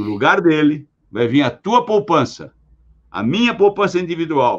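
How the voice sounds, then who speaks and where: At a fairly slow pace, a man with a fairly high pitch lets his voice swing very widely in pitch. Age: 80s+. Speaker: pension and longevity expert. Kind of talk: podcast interview.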